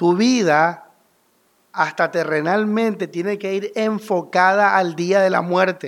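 A man speaks at a very slow pace in a high voice. His intonation stays fairly even. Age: 30s. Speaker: pastor. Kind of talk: sermon.

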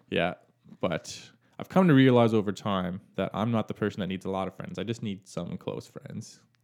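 A man's fairly low, ordinary speaking voice at a moderate pace with ordinary pitch variation. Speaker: guest. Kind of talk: interview chat about family and mental health.

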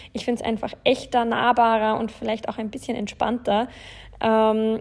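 A woman's fairly high-pitched voice. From Bavaria, Germany (Landshut). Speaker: podcast host, self-employed influencer. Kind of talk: casual solo podcast monologue.

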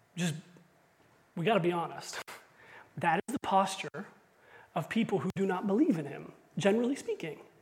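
The speaker moves at a fairly quick pace but breaks it up with long, frequent pauses. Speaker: pastor. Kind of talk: sermon.

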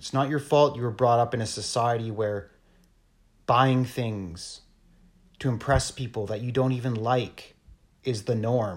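A man with a Canadian accent, medium-pitched and somewhat breathy, at a fairly slow pace with long, frequent pauses. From Canada, northern Ontario (Thunder Bay). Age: 40s. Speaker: entrepreneur vlogger. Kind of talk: casual rant monologue. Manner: animated.

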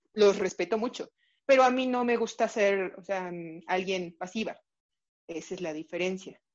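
A woman with a Mexico City accent speaks at medium pitch and a moderate pace, with ordinary pitch variation and long, frequent pauses. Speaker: pediatric cardiologist. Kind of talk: interview.

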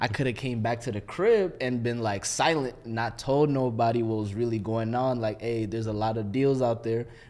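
A man with an American accent uses a plain, everyday voice at a medium pitch, speaking at a moderate pace with hardly any pauses and fairly even intonation. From Minneapolis suburbs, Minnesota. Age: 20s. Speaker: military veteran. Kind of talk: casual chat.

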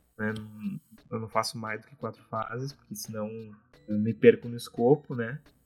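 A man at a medium pitch talks at a moderate pace in a monotone, flat way, with big swings in loudness and long, frequent pauses. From Brazil, Porto Alegre. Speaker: indie game developer. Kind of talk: casual interview.

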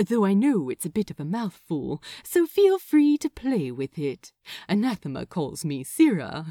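In a breathy put-on character voice with a soothing, amused tone, a woman at medium pitch speaks at a moderate pace with very wide pitch swings, the recording very clean with a silent background. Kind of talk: romance audiobook reading. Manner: soothing, amused, warm.

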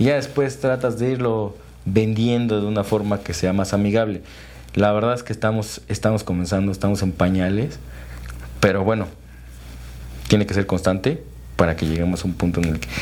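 A man's fairly low voice in a central Mexican accent, at a moderate pace with ordinary pitch variation and long, frequent pauses. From Mexico, Tlaxcala. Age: 30s. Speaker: real estate developer and construction entrepreneur. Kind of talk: interview conversation. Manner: hesitant with fillers and repetitions.

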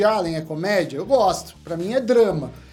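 Audible room echo surrounds a man whose high-pitched voice moves through very wide pitch swings. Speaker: economist. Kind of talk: casual chat.

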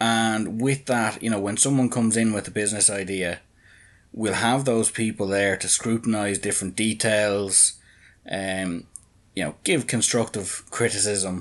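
With an Irish accent, a man speaks at a fairly slow pace and a fairly low pitch. His intonation is fairly even, and the background is quiet. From Ireland. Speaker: NFT project founder and businessman. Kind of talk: podcast interview.

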